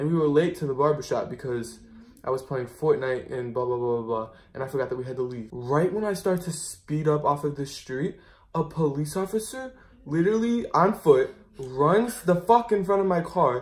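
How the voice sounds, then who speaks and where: This somewhat breathy voice moves at a moderate pace with lively intonation. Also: man. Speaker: vlogger. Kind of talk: casual vlog chat. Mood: amused, animated. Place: home room. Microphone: phone near.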